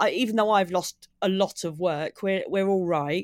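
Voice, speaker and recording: On a very clean recording with a silent background, a woman with a southern English accent speaks at medium pitch and a moderate pace, with ordinary pitch variation. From southeast England, Maidstone in Kent. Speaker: comedian. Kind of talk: casual interview.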